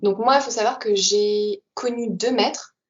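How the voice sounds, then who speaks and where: A woman speaks at a fairly slow pace with ordinary pitch variation. She has an ordinary speaking voice. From Paris region, France. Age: 20s. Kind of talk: interview testimony.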